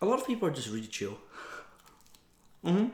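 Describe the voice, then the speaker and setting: In a Dutch accent, a man speaks with a relaxed tone. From Netherlands. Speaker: mukbang vlogger. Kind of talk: casual chat. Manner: casual, relaxed.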